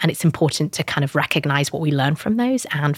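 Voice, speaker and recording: With a British accent, a woman speaks at a fairly quick pace in a very deep, low pitch. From northern England, British Pakistani family. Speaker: startup founder. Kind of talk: interview.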